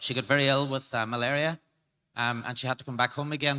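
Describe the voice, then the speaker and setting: In an Irish accent, a man speaks with a fairly high pitch. His tone is bright and sharp, and his intonation is monotone and flat. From Ireland. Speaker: crypto marketing advisor. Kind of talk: panel discussion. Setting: stage with audience.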